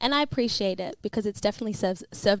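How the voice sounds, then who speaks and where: With an Australian accent, a woman talks at a very fast pace on a very clean recording with a silent background. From Melbourne, Australia (Caulfield). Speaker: podcast co-host. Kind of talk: podcast interview.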